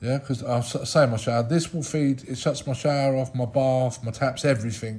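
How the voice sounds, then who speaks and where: A man talks at a moderate pace in a dark, mellow, somewhat breathy tone with fairly even intonation. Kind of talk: casual DIY walkthrough. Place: home room. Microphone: phone near.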